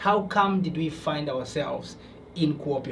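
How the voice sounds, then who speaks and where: A man's fairly high voice comes with audible room echo and noticeable background noise. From Tanzania. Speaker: podcast host. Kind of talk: podcast interview. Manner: hesitant.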